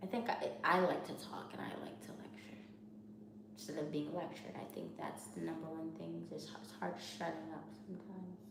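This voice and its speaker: Over noticeable background noise, someone with an American accent talks at a fairly quick pace. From New York. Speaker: MBA student vlogger. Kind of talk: casual vlog monologue.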